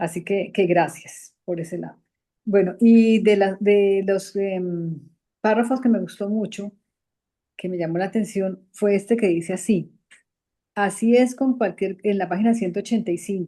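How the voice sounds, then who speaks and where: A woman talks at a fairly slow pace with a medium pitch. Her tone is dark and mellow, her intonation fairly even. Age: 60s. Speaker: study group participant. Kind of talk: group discussion. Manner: halting.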